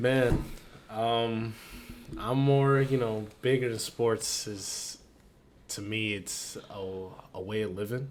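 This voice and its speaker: At a very slow pace with long, frequent pauses, a man speaks at a medium pitch with fairly even intonation in audible room echo. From Philadelphia, US. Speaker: podcast co-host, college student. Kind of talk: casual chat.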